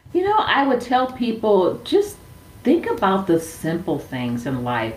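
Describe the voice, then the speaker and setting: A woman's voice with an American accent. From Milwaukee, Wisconsin, US Midwest. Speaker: social enterprise founder. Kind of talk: interview. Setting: remote call.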